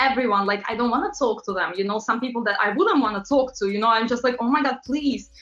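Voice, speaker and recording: Against noticeable background noise, a woman talks at a very fast pace with hardly any pauses and ordinary pitch variation. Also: fairly high pitch for a woman. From Latvia. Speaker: pop singer and model. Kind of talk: interview. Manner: animated.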